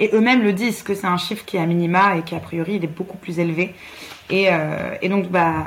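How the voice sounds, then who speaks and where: A woman's medium-pitched voice at a fairly quick pace, fairly even intonation, with noticeable background noise. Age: 20s. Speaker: physiotherapist and feminist activist. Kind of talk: interview.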